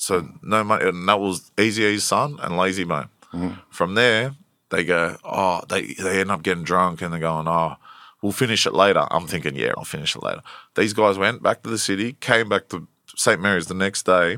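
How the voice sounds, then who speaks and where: In a strong Australian accent, a man with a very deep, low pitch and a bright, sharp tone speaks at a moderate pace on a very clean recording with a silent background. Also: ordinary pitch variation. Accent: broad Australian. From Western Sydney, Australia (Blacktown). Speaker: rapper. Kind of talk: casual interview.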